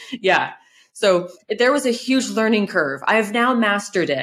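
Here a woman talks at a fairly slow pace. She speaks in a Californian accent. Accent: Californian American. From California, US. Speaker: content creator and home restorer. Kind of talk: interview.

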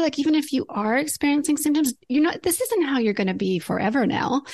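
With noticeable background noise behind her, a woman speaks in a high pitch at a very fast pace with very wide pitch swings and hardly any pauses. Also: very even loudness. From Alberta, Canada. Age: 50s. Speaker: naturopathic doctor. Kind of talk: interview.

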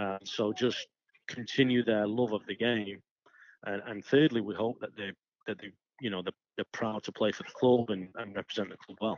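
With an American accent, a man speaks at a fairly low pitch and moderate pace, his intonation fairly even while his loudness swings widely. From Stockport, Greater Manchester, England. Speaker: soccer coach. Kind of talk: interview.

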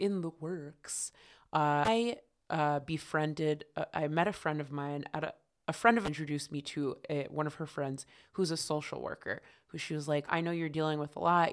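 A woman with an American accent has a very deep, low pitch and speaks at a moderate pace. The recording is very clean, with a silent background. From Connecticut. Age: 30s. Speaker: comedian. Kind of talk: casual interview chat.

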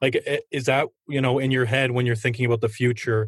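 A man speaks very fast with a somewhat breathy voice and fairly even intonation against a quiet background. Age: 30s. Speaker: sports podcast host. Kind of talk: interview.

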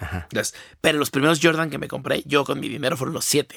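A man with a Mexican accent, medium pitch, vocal fry and a very fast pace, on a very clean recording with a silent background. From Mexico. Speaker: designer. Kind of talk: casual chat.

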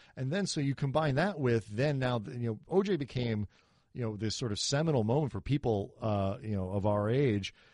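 Over a quiet background, a man with an ordinary speaking voice talks at a medium pitch and a moderate pace, his intonation lively. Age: 40s. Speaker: sports podcast host. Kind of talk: casual chat.

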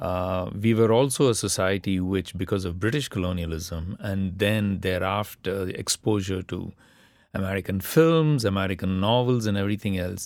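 A man with a Tamil accent at a moderate pace, fairly low in pitch with ordinary pitch variation, in a very clean recording with a silent background. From India. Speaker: politics professor. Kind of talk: panel discussion.

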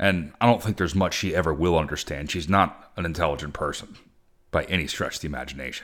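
Fairly quick, angry-toned speech with vocal fry. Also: man. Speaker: podcast host. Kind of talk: solo political podcast rant, opinionated monologue. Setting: recording at home near a local air show, planes overhead. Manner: angry, indignant, ranting, emphatic.

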